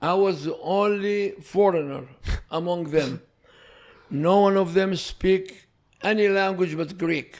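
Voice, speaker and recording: A high-pitched man with an Iraqi accent and long, frequent pauses. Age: 70s. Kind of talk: podcast interview answer.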